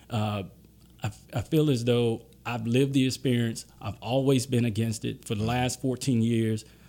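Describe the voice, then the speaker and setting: With a Southern US accent, a man talks at a moderate pace and medium pitch in a dark, mellow tone with flat, monotone intonation. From Louisiana and Mississippi Gulf Coast. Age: 30s. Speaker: attorney. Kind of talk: interview.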